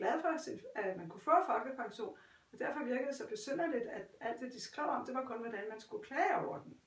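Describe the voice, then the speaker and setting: In a room with audible echo and noticeable background noise, a woman with a high pitch speaks at a fairly quick pace with lively intonation. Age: 70s. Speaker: retired pensioner. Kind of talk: interview. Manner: halting.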